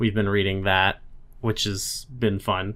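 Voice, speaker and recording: This man has a normal speaking voice pitched fairly low. His intonation stays fairly even. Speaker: podcast host. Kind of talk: casual chat.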